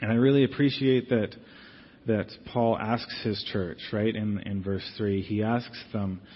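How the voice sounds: A man speaks at a fairly slow pace with fairly even intonation. His pitch is fairly low.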